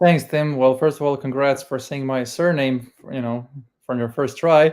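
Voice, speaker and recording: Over a silent background on a very clean recording, a man with a strong Croatian accent speaks at a moderate pace and fairly high pitch with fairly even intonation. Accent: thick Croatian. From Croatia (Split). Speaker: email marketing consultant. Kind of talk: interview.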